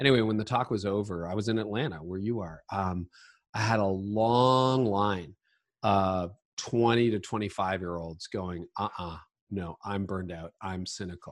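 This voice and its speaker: This is an ordinary speaking voice with a Canadian accent, moving at a moderate pace with ordinary pitch variation. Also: man, fairly low pitch for a man, very clean recording, silent background. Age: 50s. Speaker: leadership podcaster and author. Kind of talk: interview.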